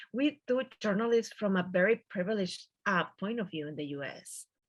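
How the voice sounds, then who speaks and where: At a fairly quick pace, a woman speaks at medium pitch with a strong Mexican accent. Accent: thick Mexican Spanish. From Mexico. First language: Spanish. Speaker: journalist. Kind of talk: panel discussion. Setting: video call.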